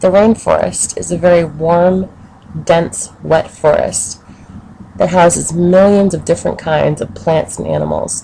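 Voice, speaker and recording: Noticeable background noise under a woman's voice at a moderate pace. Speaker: education student. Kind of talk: educational narration for children.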